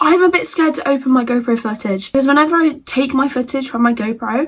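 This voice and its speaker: Very fast and animated, a woman with a British accent speaks in a high pitch with ordinary pitch variation. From Britain. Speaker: content creator. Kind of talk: casual Q&A vlog. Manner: stutters over words.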